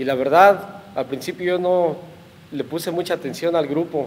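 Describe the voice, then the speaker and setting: A high-pitched male voice with fairly even intonation. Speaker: incarcerated program participant. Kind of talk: testimony.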